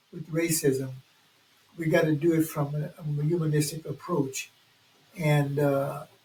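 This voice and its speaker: A man with an American accent speaks at a fairly slow pace. He leaves long, frequent pauses, and background noise is noticeable. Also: fairly high pitch for a man, fairly even intonation. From US South, New Orleans, Louisiana. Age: 80s+. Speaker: community organizer. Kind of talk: casual chat.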